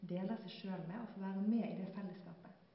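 A woman with a medium-pitched voice talks in a room with strong echo.

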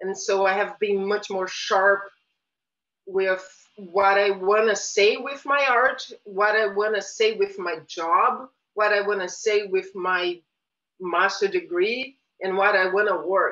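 Very slow speech in a Portuguese accent, bright and sharp in tone, with fairly even intonation and a quiet background. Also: woman. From Brazil, Rio de Janeiro. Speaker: visual artist. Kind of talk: interview; interview answer. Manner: hesitant, many fillers. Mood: thoughtful, reflective. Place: home room. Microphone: webcam.

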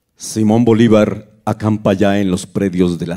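A man speaks very slowly in a solemn, dark, mellow tone. His intonation stays fairly even over a quiet background. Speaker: live concert narrator. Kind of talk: dramatic narration of a battle story, first-person, with music concert. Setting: live concert. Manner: solemn, somber, grave. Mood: somber, fearful, dramatic.

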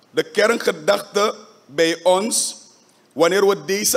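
A man talks at a very slow pace, his pitch varying in an ordinary way. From Suriname. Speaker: parliamentary faction leader. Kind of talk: parliamentary debate speech. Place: hall. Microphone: podium.

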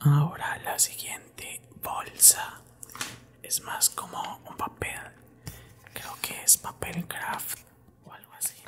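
A man whispers softly at a very slow pace, leaving long, frequent pauses. His loudness swings widely over light background noise. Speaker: content creator. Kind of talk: casual ASMR-style chat. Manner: soft close-mic ASMR whisper. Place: home room. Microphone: studio mic.

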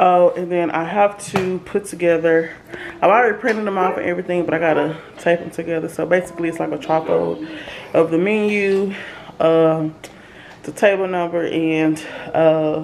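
A woman with a fairly low pitch keeps a fairly even intonation over light background noise. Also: moderate pace. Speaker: mom vlogger. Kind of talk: casual vlog chat. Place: kitchen.

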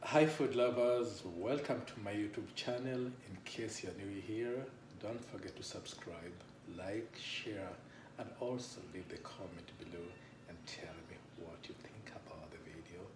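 A man speaks at a fairly slow pace with ordinary pitch variation. Background noise is noticeable. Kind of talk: cooking tutorial. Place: kitchen. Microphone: camera far.

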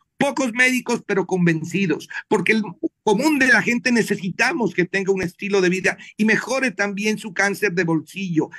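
The voice is raised and projected, with a bright, sharp tone. Pitch varies in an ordinary way, and the background is quiet. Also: man, high pitch for a man, moderate pace. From Colombia. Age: 60s. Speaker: doctor; guest. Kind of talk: panel interview. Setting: video call. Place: home room. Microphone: video call.

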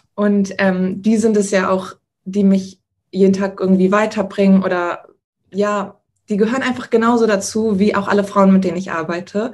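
Against a quiet background, a woman talks at a moderate pace with monotone, flat intonation. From Hamburg, northern Germany; Germany. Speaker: frontend developer; interviewee. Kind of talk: interview. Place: home room. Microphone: video call.

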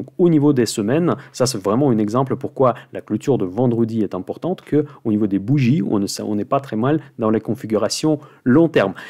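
With a quiet background, a man speaks at a medium pitch in a dark, mellow tone with hardly any pauses. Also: ordinary pitch variation. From Russia. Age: 40s. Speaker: finance YouTuber, options investor; finance YouTuber. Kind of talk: weekly market commentary monologue. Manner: fast.

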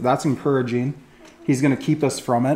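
The man's pitch shifts in an ordinary way as he talks. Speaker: teacher or preacher. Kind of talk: lecture. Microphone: webcam.

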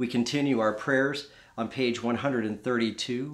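Against a quiet background, a man with an American accent talks in a warm tone with fairly even intonation. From US South. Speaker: Episcopal priest. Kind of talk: fervent intercessory prayer, led in a steady liturgical cadence. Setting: home, pre-recorded. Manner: earnest, warm, gently pleading; slow, measured, reverent. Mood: calm, solemn. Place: home room. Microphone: phone near.

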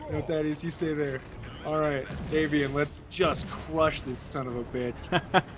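Noticeable noise can be heard in the background. The words come at a fairly slow pace. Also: man, fairly high pitch for a man. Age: 20s. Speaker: gaming co-host. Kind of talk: casual chat. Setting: live stream with chat. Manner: animated.

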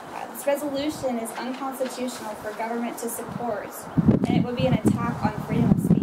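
A woman talking at a fairly quick pace over loud background noise. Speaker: member of the public giving comment. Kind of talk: public comment statement. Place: hall.

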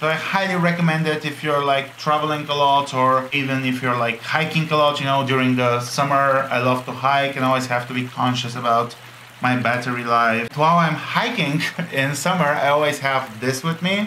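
A man's medium-pitched voice, bright and sharp in tone, at a moderate pace with fairly even intonation over faint background noise

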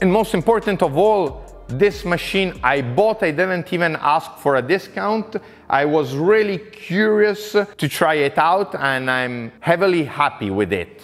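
Over music in the background, a man speaks fairly slowly at a high pitch with lively intonation. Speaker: workshop tool reviewer. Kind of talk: tutorial. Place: garage. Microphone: lapel.

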